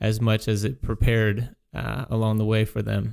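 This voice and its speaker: In an unremarkable speaking voice, a man talks at a fairly slow pace with a medium pitch. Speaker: financial advisor radio host. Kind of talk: radio show discussion.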